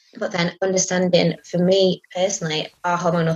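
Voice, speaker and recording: Medium-pitched woman's voice with an English accent, at a moderate pace. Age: 30s. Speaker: charity operations manager. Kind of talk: interview. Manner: hesitant, many fillers.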